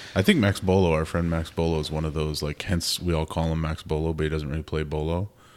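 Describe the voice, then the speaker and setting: A man with an Upper Midwest accent talks at a very fast pace and a very deep, low pitch, with monotone, flat intonation. The recording is very clean, with a silent background. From Minnesota, Twin Cities. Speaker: podcast host and photographer. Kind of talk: casual chat.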